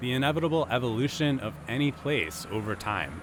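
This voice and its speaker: Vocal fry and very wide pitch swings in a man's medium-pitched voice, moderately paced. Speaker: public radio reporter. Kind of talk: public radio feature narration.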